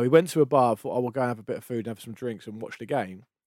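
Talking at a very fast pace, a man with an English accent has a dark, mellow tone. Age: 40s. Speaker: podcast co-host. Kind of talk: casual chat.

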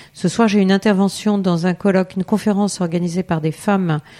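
A woman's medium-pitched, dark, mellow voice at a moderate pace with fairly even intonation, in a dry, close sound with no echo. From France, Eure-et-Loir. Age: 50s. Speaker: member of parliament. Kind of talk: interview. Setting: constituency office. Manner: halting, many fillers and repetitions.

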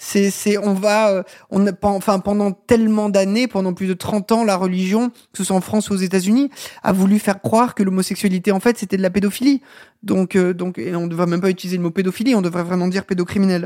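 Speaking at a fairly quick pace, a woman has a medium pitch, a dark, mellow tone and fairly even intonation. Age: 40s. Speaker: former film journalist. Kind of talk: interview. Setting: host's living room.

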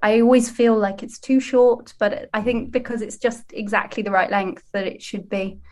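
A woman with a British accent speaks in a fairly high, somewhat breathy voice with fairly even intonation. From UK. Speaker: comedian. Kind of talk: casual chat.

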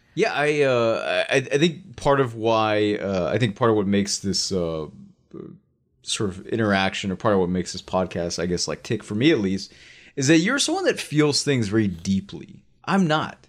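In a very clean recording with a silent background, a man with medium pitch and an ordinary speaking voice talks at a moderate pace with lively intonation. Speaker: podcast co-host.

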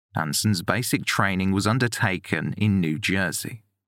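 A man's fairly low voice with ordinary pitch variation, an unremarkable speaking voice, on a very clean recording with a silent background. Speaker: podcast narrator. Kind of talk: true-crime narration, scripted and read aloud. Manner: measured, sombre, steady; formal, deliberate.

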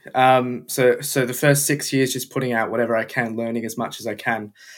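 The pace is moderate. A man speaks in an Australian accent. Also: very clean recording, silent background. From Melbourne, Australia. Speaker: F1 content creator. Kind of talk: casual interview chat.

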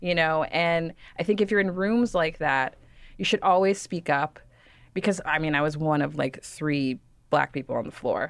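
In a very clean recording with a silent background, a woman speaks with a plain, everyday voice and an American accent. Her pitch is fairly low with ordinary variation, and her pace is moderate. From Texas, Dallas suburbs. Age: 30s. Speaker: fashion writer. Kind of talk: interview.

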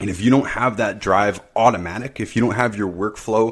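Recorded very cleanly against a silent background, a man with a plain, everyday voice speaks at a moderate pace in a fairly low pitch. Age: 30s. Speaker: podcast host, health consultant. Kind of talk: solo monologue.

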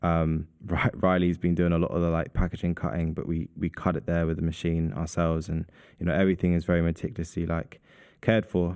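In a very clean recording with a silent background, a man with a London accent talks very fast in a very deep, low pitch with fairly even intonation. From London, Southeast London. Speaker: artist and perfumer. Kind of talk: casual interview. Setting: gallery recording space.

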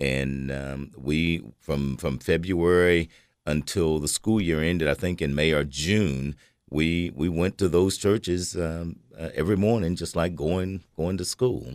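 This man has a very deep, low pitch and a Tennessee accent, speaking at a fairly slow pace with ordinary pitch variation. The recording is very clean, with a silent background. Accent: Tennessee Southern American. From Cookeville, Tennessee (US South). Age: 60s. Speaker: retired human resources worker. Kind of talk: radio interview. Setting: studio. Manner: hesitant with many fillers.

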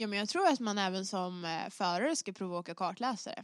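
A woman with a normal speaking voice at a medium pitch and ordinary pitch variation, in a dry, close sound with no echo and a quiet background. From Stockholm, Sweden. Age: 20s. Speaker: rally driver. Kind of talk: podcast interview.

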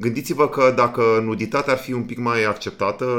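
A man speaks at a medium pitch. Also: very clean recording, silent background. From Romania, Danube region. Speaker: podcast co-host and producer. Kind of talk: casual chat.

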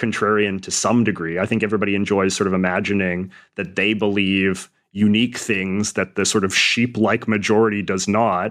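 Over a quiet background, a man talks at a fairly quick pace with a fairly low pitch. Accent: Western Canadian. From Western Canada. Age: 30s. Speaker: columnist and YouTuber. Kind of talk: interview.

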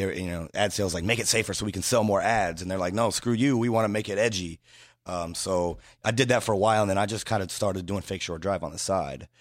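On a very clean recording with a silent background, a man talks very fast at a fairly low pitch with ordinary pitch variation. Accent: American. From Indiana, US Midwest. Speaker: hip-hop website founder. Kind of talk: casual interview chat. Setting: studio.

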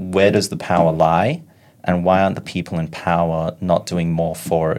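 A man's very deep, low voice with an Australian accent, monotone and flat, at a moderate pace on a very clean recording with a silent background. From Sydney, Australia. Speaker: activist, former ultra-Orthodox member. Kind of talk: interview.

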